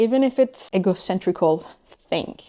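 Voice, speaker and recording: A woman speaks with a non-native accent. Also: very clean recording, silent background. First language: not English. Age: 30s. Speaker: vlogger. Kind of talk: personal vlog monologue. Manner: halting, with hesitations.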